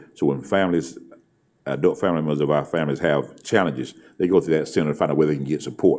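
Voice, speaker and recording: A dark, mellow voice with vocal fry moves at a very fast pace, its intonation fairly even. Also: man. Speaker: school superintendent. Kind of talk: board meeting presentation. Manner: halting, many fillers.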